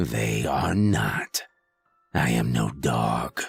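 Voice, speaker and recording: A man does a put-on character voice, raspy and very deep in pitch. Faint music plays in the background. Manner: snarling.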